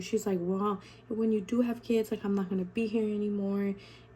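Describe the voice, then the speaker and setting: Speaking at a fairly quick pace, a woman's somewhat breathy voice has a dark, mellow tone and fairly even intonation. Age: 20s. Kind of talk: casual talk to camera. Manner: chatty, casual.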